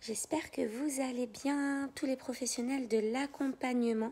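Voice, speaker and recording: Soft-spoken and high-pitched, a woman talks. Her pace is very slow. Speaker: life coach. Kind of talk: live stream talk.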